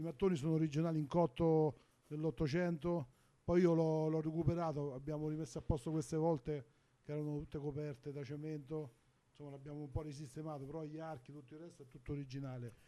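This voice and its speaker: Very fast, monotone and flat speech in a dark, mellow tone, with big swings in loudness, in a very clean recording against a silent background. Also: man, fairly high pitch for a man. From Lazio, Olevano Romano. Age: 50s. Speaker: restaurant owner and chef. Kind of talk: casual interview.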